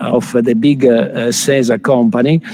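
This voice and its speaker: Against noticeable background noise, a man speaks at a fairly slow pace and medium pitch with lively intonation. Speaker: conference chair. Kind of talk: conference moderation. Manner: hesitant, many fillers.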